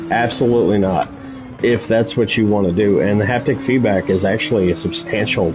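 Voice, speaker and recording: A man talks with a fairly low pitch. Background music can be heard. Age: 40s. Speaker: sim racing streamer. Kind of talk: casual chat. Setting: live stream.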